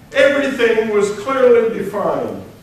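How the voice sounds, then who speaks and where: The speech moves at a very slow pace. Room echo is audible, and background noise is noticeable. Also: man. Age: 80s+. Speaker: retired senior enlisted military leader. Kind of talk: lecture.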